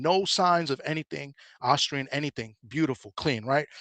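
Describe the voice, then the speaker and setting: A man's fairly high voice at a fairly quick pace, with ordinary pitch variation, dry, close sound with no echo and a quiet background. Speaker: boxing show panelist. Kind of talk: casual boxing discussion. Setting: at work, remote call. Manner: fast.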